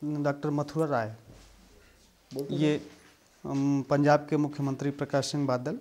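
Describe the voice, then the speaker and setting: Flat and monotone, a man speaks at a fairly high pitch with long, frequent pauses. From Uttar Pradesh, India (Varanasi district). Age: 30s. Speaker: farmer. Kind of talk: testimony.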